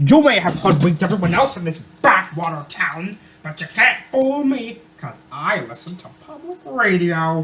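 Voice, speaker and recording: A man puts on a character voice pitched high, speaking at a moderate pace. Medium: dub. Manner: sarcastic, indignant.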